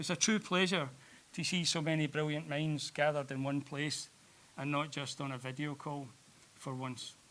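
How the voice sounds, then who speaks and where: A man speaks at a moderate pace with a Glasgow accent. His pitch sits fairly high, and his tone is bright and sharp. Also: fairly even intonation. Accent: Scottish (Glasgow). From Scotland, Glasgow. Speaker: president of an art education society, opening speaker. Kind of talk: welcome speech. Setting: stage with audience in a cinema.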